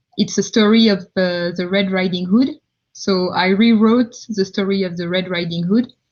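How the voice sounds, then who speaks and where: With a French accent, a woman talks at a moderate pace. Her medium-pitched voice keeps fairly even intonation. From France, countryside. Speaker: tech founder, multisensory designer. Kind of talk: live Q&A. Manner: halting, many fillers.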